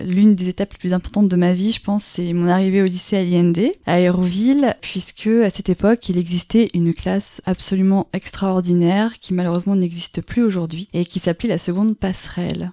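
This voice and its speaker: A woman speaks at a fairly quick pace with hardly any pauses and fairly even intonation, her tone dark and mellow. The sound is dry and close, with no echo. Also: medium pitch for a woman. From Normandy, France. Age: 30s. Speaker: poet. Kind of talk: interview. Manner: hesitant, many fillers.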